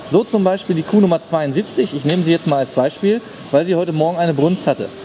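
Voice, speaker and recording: Amid noticeable background noise, a man speaks fairly quickly in a high pitch. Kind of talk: casual vlog chat. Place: farm machine.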